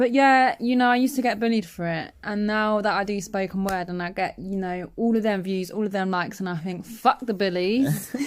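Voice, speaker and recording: A woman with a London accent at medium pitch, ordinary pitch variation, a fairly quick pace and hardly any pauses. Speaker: podcast guest, spoken word poet. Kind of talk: casual chat.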